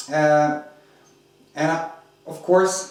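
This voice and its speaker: There is noticeable background noise and audible room echo. Through it, a man speaks at a high pitch. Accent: non-native. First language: not English. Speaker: RC hobby video reviewer. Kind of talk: product review tutorial. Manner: hesitant, many fillers.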